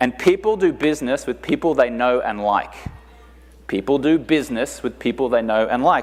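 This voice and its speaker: A man speaks with an Australian accent at a fairly high pitch. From Australia, Brisbane. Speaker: conference speaker, entrepreneur. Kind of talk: motivational talk.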